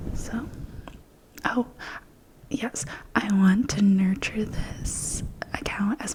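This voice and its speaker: Very slow whispering is heard with noticeable background noise. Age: 20s. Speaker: ASMR creator. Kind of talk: ASMR whisper ramble. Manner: whispered.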